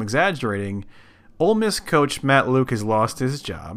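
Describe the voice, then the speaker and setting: On a very clean recording with a silent background, a man with an American accent speaks at a fairly quick pace, his pitch swinging very widely. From Ohio. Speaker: podcast host. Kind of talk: casual chat.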